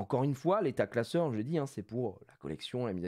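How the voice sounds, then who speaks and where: With an animated tone and very wide pitch swings, a man speaks at a fairly quick pace against a quiet background. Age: 30s. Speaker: streamer, card collector; streamer. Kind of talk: live stream chat. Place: home room. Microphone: studio mic.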